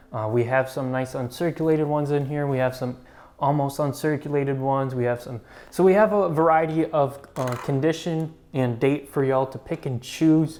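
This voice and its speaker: A man with an unremarkable speaking voice talks at a moderate pace, his fairly high pitch held in a fairly even intonation. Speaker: coin shop employee presenting market updates. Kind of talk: market update video. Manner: casual with filler words.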